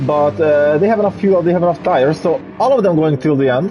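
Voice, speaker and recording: Noticeable background noise runs under a man who talks very fast. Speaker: sim racing commentator. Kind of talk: live commentary. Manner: animated; halting.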